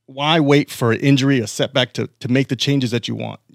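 A man with a normal speaking voice talks at a fairly quick pace and a medium pitch with ordinary pitch variation, in a dry, close sound with no echo on a very clean recording with a silent background. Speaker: podcast producer and co-host. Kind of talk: ad reads and casual chat. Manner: upbeat.

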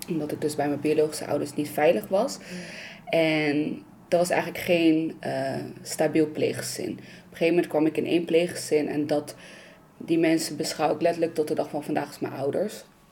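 There is noticeable background noise as a woman with a very deep, low pitch speaks at a moderate pace with fairly even intonation. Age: 20s. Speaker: youth psychiatry worker. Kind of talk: personal testimony.

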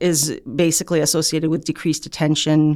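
A woman with a Canadian accent and a very deep, low voice. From Canada. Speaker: physician and researcher. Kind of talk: interview.

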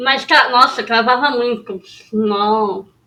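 A woman is speaking. Her pitch is fairly high. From São Paulo city, Brazil. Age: 20s. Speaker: podcast co-host. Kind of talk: casual chat.

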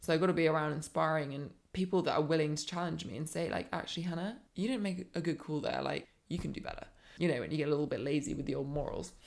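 A woman's very deep, low voice with vocal fry, ordinary pitch variation and a very fast pace. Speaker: life coach. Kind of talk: casual chat.

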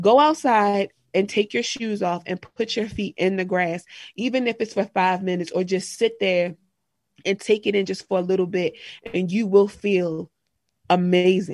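Recorded with a dry, close sound and no echo, a woman speaks at a moderate pace in a medium pitch with ordinary pitch variation. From Maryland, Harford County. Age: 20s. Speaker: spiritual wellness podcaster. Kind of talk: casual interview chat.

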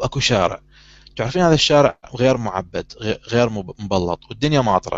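With a plain, everyday voice, a man speaks at medium pitch and a moderate pace, his intonation lively. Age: 30s. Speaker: talk show host. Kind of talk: casual chat.

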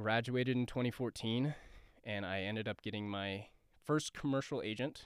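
A normal speaking voice with an American accent, at a moderate pace and with ordinary pitch variation, on a very clean recording with a silent background. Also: man, medium pitch for a man. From Denver, Colorado. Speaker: actor. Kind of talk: casual chat. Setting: studio.

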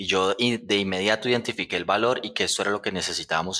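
A man's bright, sharp voice at a fairly quick pace, on a very clean recording with a silent background. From Colombia, Puerto Salgar (Cundinamarca). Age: 30s. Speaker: software company co-founder. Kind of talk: casual interview.

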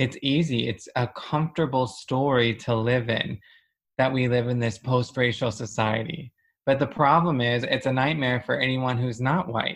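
Against a quiet background, a somewhat breathy man with an American accent talks at a moderate pace with fairly even intonation. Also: medium pitch for a man. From US South. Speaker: church host and speaker. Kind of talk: sermon and prayer. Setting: church.

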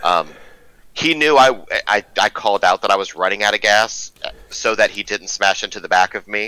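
The sound is dry and close, with no echo. A man speaks at a moderate pace and fairly low pitch, with ordinary pitch variation. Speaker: sim racing driver. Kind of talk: casual chat. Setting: video call. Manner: candid, outspoken.

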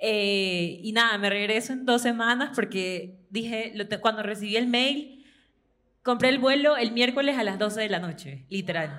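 Bright and sharp in tone, a woman with a fairly high pitch speaks fairly slowly with ordinary pitch variation. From Ecuador. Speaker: student and fan in live audience. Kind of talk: audience testimony at live event.

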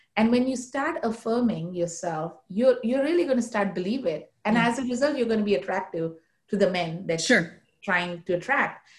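At a fairly quick pace, a woman speaks in a fairly high, somewhat breathy voice with lively intonation. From India, Mumbai. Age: 40s. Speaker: nonprofit corporate relations officer. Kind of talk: interview conversation.

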